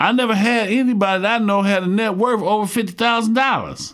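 A man speaks in a gravelly, fairly bright voice pitched high, moving at a fairly quick pace with ordinary pitch variation on a very clean recording with a silent background.

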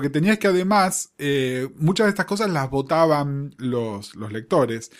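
Very wide pitch swings mark this man's speech at a fairly slow pace, on a very clean recording with a silent background. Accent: Rioplatense. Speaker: podcast co-host. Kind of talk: casual chat.

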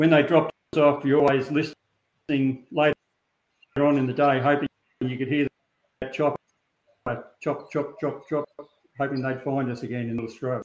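A man talks at a moderate pace in a fairly high, monotone voice with flat intonation. He takes long, frequent pauses, and the sound is dry and close with no echo. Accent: Australian. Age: 70s. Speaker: shearer and stock dog breeder. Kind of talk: interview. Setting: video call. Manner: halting.

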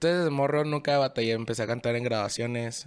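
A man talks at a medium pitch with ordinary pitch variation. He has a normal speaking voice. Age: 20s. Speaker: singer-songwriter. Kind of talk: casual chat.

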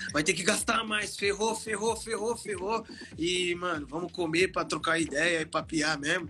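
A man with a high voice speaks in an animated tone at a fairly slow pace. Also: ordinary pitch variation. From Osasco, São Paulo, Brazil. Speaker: DJ and music producer. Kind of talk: casual interview. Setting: online live stream. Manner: animated, slangy.

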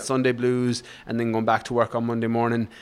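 This man has an Irish accent. He talks at a very fast pace. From west of Ireland, rural. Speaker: fitness coach and author. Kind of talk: interview conversation.

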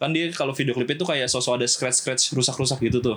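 A man's unremarkable speaking voice, medium in pitch, with fairly even intonation. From Java, Indonesia. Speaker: film restoration worker. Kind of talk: casual chat.

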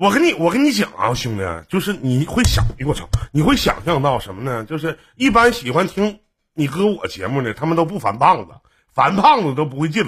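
A man talks at a fairly quick pace with vocal fry. His pitch swings very widely and his loudness rises and falls in big swings. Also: fairly high pitch for a man. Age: 40s. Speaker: radio/stream host. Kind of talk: casual call-in chat.

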